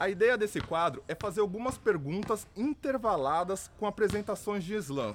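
A high-pitched man at a moderate pace, animated and lively in intonation with hardly any pauses, on a very clean recording with a silent background. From São Paulo, Brazil (Taboão da Serra). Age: 20s. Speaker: podcast host and rapper. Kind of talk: news roundup podcast with personal interview segment.

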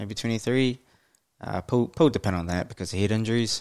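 The voice has a New Zealand accent. The recording is very clean, with a silent background. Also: man. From New Zealand, Waikato (Hamilton). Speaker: podcast host. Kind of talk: casual solo monologue. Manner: hesitant, many fillers.

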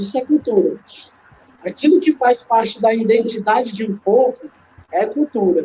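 A man speaks with very wide pitch swings. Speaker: DJ and composer. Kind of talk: casual interview.

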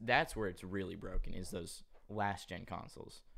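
This man's voice has a fairly low pitch and ordinary pitch variation. He talks at a moderate pace. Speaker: podcaster and YouTuber. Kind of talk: casual chat. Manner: animated, slangy.

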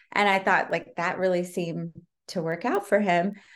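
A woman's medium-pitched voice comes through on a very clean recording, the background silent. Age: 40s. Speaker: TV producer. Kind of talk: interview. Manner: animated.

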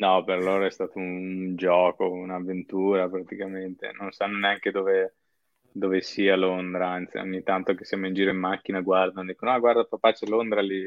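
Very deep and low, a man's voice comes at a fairly quick pace. His intonation is monotone and flat. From northern Italy, Padova. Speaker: software worker living abroad. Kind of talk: interview.

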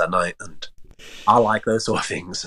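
The speaker is a man. He talks with a London accent. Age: 20s. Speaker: travel content creator. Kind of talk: casual chat.

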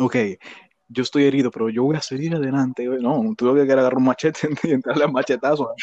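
Rushing at a very fast pace, a man with a medium-pitched voice holds a fairly even intonation. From Dominican Republic, Villa Faro. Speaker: podcast co-host. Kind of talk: casual chat.

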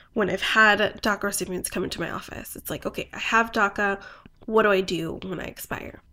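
In a very clean recording with a silent background, a woman of medium pitch uses a normal speaking voice with ordinary pitch variation. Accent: American. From US Southwest (New Mexico and Phoenix). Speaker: immigration lawyer. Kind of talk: interview.

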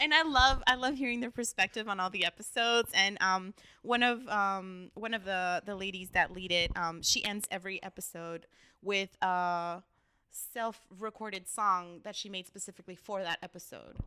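On a very clean recording with a silent background, a woman speaks with a Californian accent in a bright, sharp tone at medium pitch. Her pace is moderate, her pitch varies in an ordinary way, and her loudness swings widely. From Los Angeles, East Hollywood. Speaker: neighborhood council member. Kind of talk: casual interview chat. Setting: learning center.

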